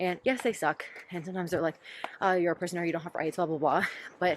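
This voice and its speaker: With monotone, flat intonation and an American accent, the voice comes through noticeable background noise. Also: woman. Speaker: vlogger. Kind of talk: casual vlog talk. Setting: outdoors.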